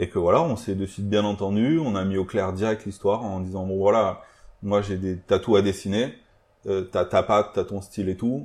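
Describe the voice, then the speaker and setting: Against a quiet background, a man talks at a moderate pace. His pitch is fairly low and his intonation fairly even. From partly Germany. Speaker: illustrator and tattoo designer. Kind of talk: casual interview. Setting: his tattoo shop. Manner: hesitant, many fillers.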